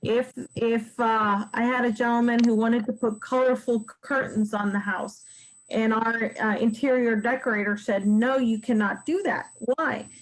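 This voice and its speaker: A woman talks at a fairly slow pace with fairly even intonation and a fairly high pitch. It is an ordinary speaking voice. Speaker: realtor teaching real estate investing. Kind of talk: webinar presentation. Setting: online webinar.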